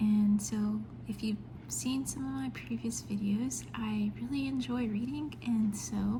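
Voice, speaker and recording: Soft-spoken and very deep in pitch, a woman talks at a fairly slow pace with lively intonation amid noticeable background noise. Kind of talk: ASMR show and tell, casual talk to camera. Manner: quiet, soft-spoken.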